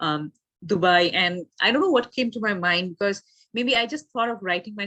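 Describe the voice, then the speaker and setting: A woman's bright, sharp voice, dry and close with no echo. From India, Assam (Guwahati). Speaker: author. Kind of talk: interview. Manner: hesitant, many fillers.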